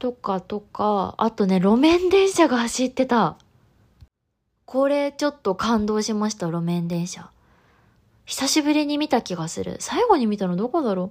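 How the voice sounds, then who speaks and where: A woman with a fairly high voice talks fairly slowly, her pitch rising and falling very widely. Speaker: podcast host. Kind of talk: solo podcast monologue.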